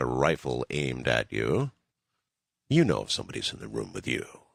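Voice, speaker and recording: At a very fast pace, a man with an American accent speaks with vocal fry and ordinary pitch variation in a dry, close sound with no echo. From United States. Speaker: radio host. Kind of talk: late-night call-in radio hosting.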